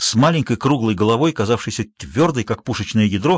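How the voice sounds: Reading in a natural voice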